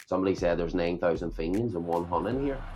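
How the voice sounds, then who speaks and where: With music in the background and audible room echo, a man talks in a Belfast accent. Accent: Belfast accent, embraced. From Belfast, Northern Ireland (Shankill Road). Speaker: rapper. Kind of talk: interview.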